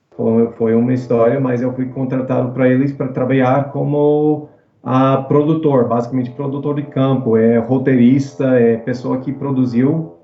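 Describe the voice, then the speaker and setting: With audible room echo, a man with an English accent speaks at a medium pitch in a monotone, flat intonation, fairly slowly and with hardly any pauses. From US South, New Orleans. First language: English (speaking Portuguese). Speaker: actor. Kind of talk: casual chat. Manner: halting.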